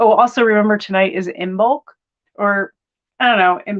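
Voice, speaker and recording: A woman speaks in a normal speaking voice with an American accent, at a medium pitch. Her pace is fairly quick, and her pitch varies in an ordinary way. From United States. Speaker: tarot reader. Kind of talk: live-stream tarot reading. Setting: spare bedroom live stream. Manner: casual, filler-heavy.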